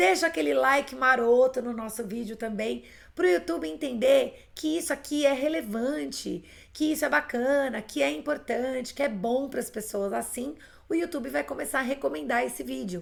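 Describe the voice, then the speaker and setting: With very wide pitch swings, a woman speaks high at a moderate pace. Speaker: English teacher. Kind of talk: live online class.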